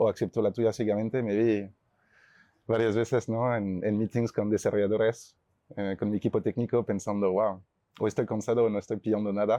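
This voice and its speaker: A man with a French accent talks at a fairly quick pace. His fairly low pitch stays in a monotone, flat intonation. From France, Chamonix (Alps). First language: French (speaking Spanish). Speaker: startup CEO. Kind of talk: panel discussion.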